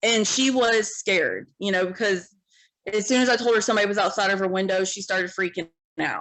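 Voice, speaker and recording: An unremarkable speaking voice from a woman, medium in pitch, fairly quick, with fairly even intonation. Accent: American. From Ohio. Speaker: single mom, industrial sales worker. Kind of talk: podcast interview. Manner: casual, filler-heavy.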